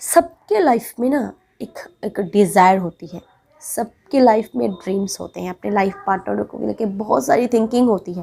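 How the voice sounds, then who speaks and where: This woman's medium-pitched voice has a dark, mellow tone, vocal fry, lively intonation and big swings in loudness. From Bengal, India. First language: Bengali (speaking Hindi). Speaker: relationship advice vlogger. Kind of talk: advice monologue to camera.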